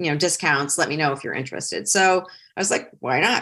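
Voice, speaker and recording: A woman with a northern US accent and lively intonation, over a quiet background. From Ohio and Metro Detroit, US Midwest. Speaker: career coach and consultant. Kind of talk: casual interview.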